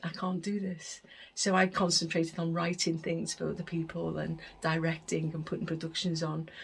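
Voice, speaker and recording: A woman speaks at a fairly low pitch with vocal fry and monotone, flat intonation. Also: moderate pace. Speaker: deaf arts leader and performer. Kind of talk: recorded interview monologue. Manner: hesitant, with self-corrections.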